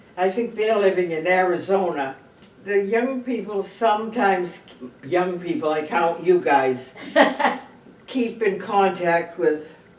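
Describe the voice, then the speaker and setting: Over noticeable background noise, a woman with a New England accent speaks fairly slowly with long, frequent pauses at a medium pitch and with ordinary pitch variation. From Cape Cod, Massachusetts. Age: 80s+. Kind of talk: interview answer.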